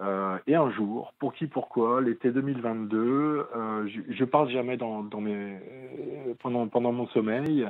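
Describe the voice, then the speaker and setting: A man with a medium pitch speaks very slowly, keeping his intonation fairly even. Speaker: caller. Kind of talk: testimony. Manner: halting.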